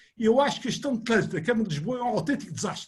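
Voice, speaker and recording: The speaker talks at a very fast pace in an animated tone. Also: man. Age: 70s. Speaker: engineer, webinar panelist. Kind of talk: panel discussion.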